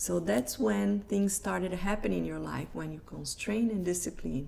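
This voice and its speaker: Speaking with a Brazilian Portuguese accent, a woman keeps a moderate pace. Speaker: life coach. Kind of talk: live online presentation. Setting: live stream.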